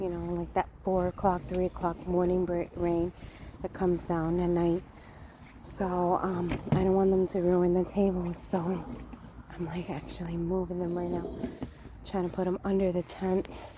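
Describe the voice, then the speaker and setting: Noticeable background noise sits behind a woman with a fairly low pitch who speaks at a moderate pace in a flat monotone. She leaves long, frequent pauses. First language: Spanish. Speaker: vlogger. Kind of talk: casual vlog. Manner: hesitant, many fillers.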